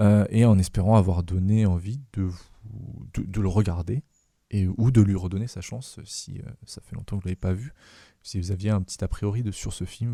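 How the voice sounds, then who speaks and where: A man speaks at a moderate pace with a fairly low pitch and a dark, mellow, somewhat breathy tone. His intonation is fairly even, his loudness swings widely, and the recording is very clean with a silent background. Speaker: podcast host. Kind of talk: casual chat. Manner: halting.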